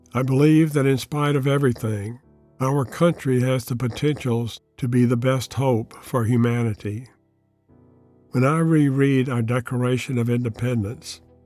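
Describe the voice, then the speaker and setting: Music plays in the background as a man with medium pitch talks at a moderate pace in fairly even intonation. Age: 80s+. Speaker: Jungian analyst and author. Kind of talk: personal essay read to camera.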